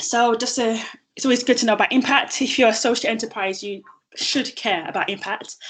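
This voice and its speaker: Talking at a fairly quick pace, a woman with a strong London accent keeps a fairly high pitch and fairly even intonation. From London, southeast. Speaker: social enterprise founder and CEO. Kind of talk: presentation.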